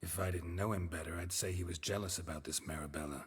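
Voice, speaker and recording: A put-on character voice, deadpan in tone, at a very fast pace. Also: man, very deep, low pitch for a man. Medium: video game. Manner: dry, laconic, deadpan.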